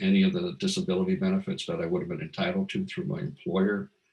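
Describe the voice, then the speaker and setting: His pitch rises and falls very widely. The man's voice is somewhat breathy. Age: 60s. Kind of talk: testimony. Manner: halting, many fillers.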